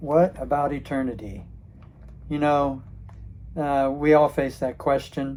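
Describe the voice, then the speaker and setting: A man's fairly high, flat monotone at a fairly slow pace, with long, frequent pauses. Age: 60s. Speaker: retired channel host. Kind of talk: casual talk to camera. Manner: hesitant, halting, many fillers.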